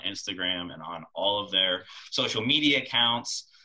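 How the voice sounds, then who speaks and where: Over noticeable background noise, a man with an American accent speaks at a moderate pace, using a fairly low pitch and ordinary pitch variation. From small-town Ohio near Youngstown. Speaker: podcast host and real estate agent. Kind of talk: interview.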